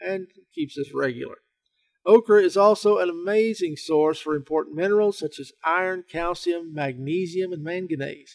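With a Southern US accent, a man talks at a moderate pace in a high pitch with ordinary pitch variation. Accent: Southern American. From Southern United States. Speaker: health writer and researcher. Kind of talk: informational talk to camera.

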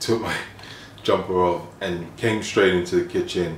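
Against light background noise and audible room echo, a man talks at a fairly slow pace in a very deep, low voice. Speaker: fitness vlogger. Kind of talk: casual vlog chat. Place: kitchen. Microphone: phone near.

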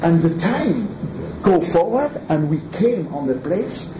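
A man speaks at a very slow pace with very wide pitch swings. Noticeable background noise runs underneath. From Switzerland (French-speaking). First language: French. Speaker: throws coach. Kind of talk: lecture. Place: meeting room. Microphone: camera far.

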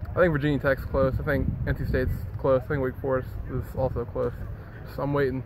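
A man talks with fairly even intonation. The sound is dry with no echo, and background noise is noticeable. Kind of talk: interview answer. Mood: polite, modest. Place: stadium. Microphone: phone near.

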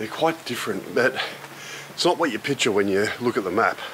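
A man talks at a moderate pace with noticeable background noise behind him. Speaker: motorbike travel vlogger. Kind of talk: casual vlog chat. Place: street. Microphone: phone near.

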